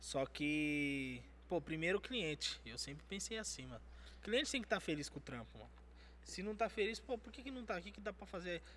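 Loudness rises and falls in big swings in this man's voice. He keeps a fairly quick pace. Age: 20s. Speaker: tattoo artist. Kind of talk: casual chat.

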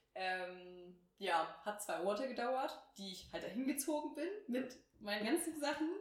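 Amid audible room echo, a woman speaks fairly slowly at a fairly high pitch, with very wide pitch swings. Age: 20s. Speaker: podcast co-host, virtual assistant. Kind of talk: casual chat.

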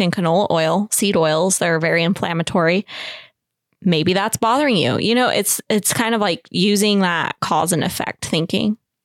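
Heard on a very clean recording with a silent background, a woman speaks in a plain, everyday voice of medium pitch, with ordinary pitch variation and very even loudness. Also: moderate pace, dry, close sound with no echo. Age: 20s. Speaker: small bakery business owner. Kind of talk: casual chat.

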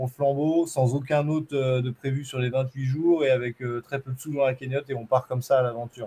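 In a somewhat breathy voice with a dark, mellow tone, a man speaks at a medium pitch and fairly quick pace with monotone, flat intonation. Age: 30s. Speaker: Muay Thai champion and long-distance runner. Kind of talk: interview conversation.

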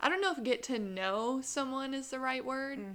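Here is a woman with a Southern US accent. Her pitch varies in an ordinary way. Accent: Southern American. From US South, Columbia, South Carolina. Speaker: podcast co-host. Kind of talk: casual chat. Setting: studio with two mics. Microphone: new mic.

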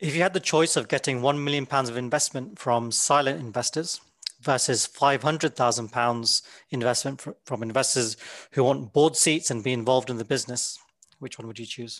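Speaking at a fairly quick pace, a man has an unremarkable speaking voice, medium pitch, ordinary pitch variation and big swings in loudness. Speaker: podcast host. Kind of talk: interview conversation.

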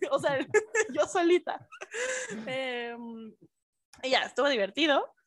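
With a dry, close sound and no echo, a woman speaks at a high pitch using lively intonation. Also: long, frequent pauses. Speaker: podcast co-host. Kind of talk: casual chat.

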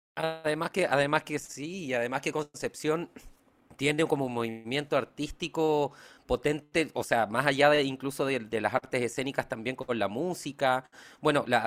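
On a very clean recording with a silent background, a man with an unremarkable speaking voice talks at a moderate pace and medium pitch, with ordinary pitch variation and a dry, close sound with no echo. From Chiloé, southern Chile. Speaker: podcast co-host. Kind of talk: scripted narration; casual interview.

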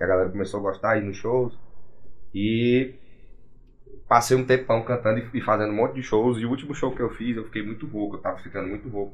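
Somewhat breathy man, fairly quick in pace and fairly even in intonation, broken by long, frequent pauses. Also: medium pitch for a man. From Gurupi, Tocantins, Brazil. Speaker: sertanejo singer. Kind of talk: casual podcast interview.

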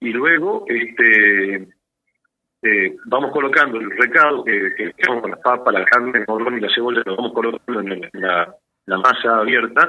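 At a fairly slow pace, a man talks in an ordinary speaking voice. His pitch sits in the medium range and varies in an ordinary way. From Salta, northwest Argentina. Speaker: architect and cook. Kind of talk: cooking tutorial.

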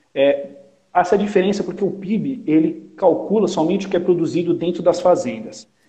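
Talking at a moderate pace, a man has a high pitch paired with a dark, mellow tone. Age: 30s. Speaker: agribusiness sales coordinator. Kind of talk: casual interview.

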